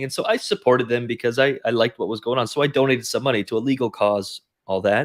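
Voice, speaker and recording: A man with a Canadian accent has a plain, everyday voice at a medium pitch with ordinary pitch variation. He talks at a fairly quick pace on a very clean recording with a silent background. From Canada. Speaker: crypto investment researcher. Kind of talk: interview.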